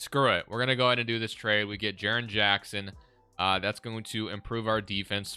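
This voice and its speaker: Over music in the background, a man speaks at a fairly quick pace with a fairly low pitch and ordinary pitch variation. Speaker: gaming YouTuber. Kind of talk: gameplay commentary. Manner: casual.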